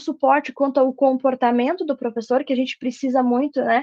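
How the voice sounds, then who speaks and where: Speaking fairly quickly, the woman keeps her intonation fairly even. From southern Brazil, Rio Grande do Sul (Santa Maria). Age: 30s. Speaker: university professor. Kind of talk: radio interview.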